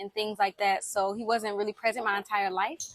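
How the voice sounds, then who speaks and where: Her voice has a bright, sharp tone, and the woman speaks with a slight Southern US accent. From US South, Alabama then Miami. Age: 20s. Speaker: personal vlogger. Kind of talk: personal testimony. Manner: conversational with fillers.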